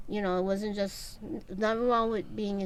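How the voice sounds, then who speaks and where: A woman speaks with a New York accent at medium pitch. Her intonation stays fairly even. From New York City. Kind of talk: interview answer.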